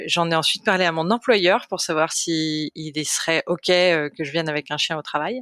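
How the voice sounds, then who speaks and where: Her pitch fairly low, a woman speaks at a fairly slow pace with fairly even intonation. It is an unremarkable speaking voice. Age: 30s. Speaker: volunteer guide dog foster family. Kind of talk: interview. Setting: podcast recording.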